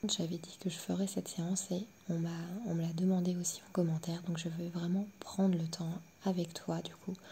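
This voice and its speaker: Whispering and soft-spoken, a woman talks at a moderate pace. Her voice is somewhat breathy. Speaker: sophrologist. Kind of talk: pre-session explanation to listener. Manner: near-whispered, soft.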